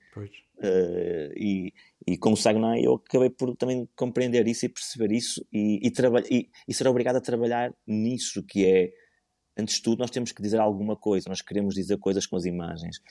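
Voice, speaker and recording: A man speaks at a moderate pace in a fairly low, dark and mellow voice against a quiet background. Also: ordinary pitch variation, dry, close sound with no echo. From northern Portugal, Porto. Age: 40s. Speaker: visual artist. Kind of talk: casual interview. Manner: halting.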